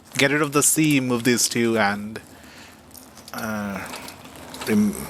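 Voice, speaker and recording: The background is noisy and the room echo is audible. Through it, a man talks very slowly. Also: medium pitch for a man, ordinary pitch variation. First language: not English. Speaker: game streamer. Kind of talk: live gameplay commentary. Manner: halting.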